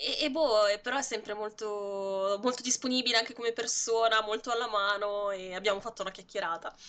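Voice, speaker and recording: Bright and sharp in tone, the voice moves at a fairly quick pace with hardly any pauses and fairly even intonation. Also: woman, fairly high pitch for a woman. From Lombardy, Monza Brianza. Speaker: video editor, graphic designer and streamer. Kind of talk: interview. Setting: live stream.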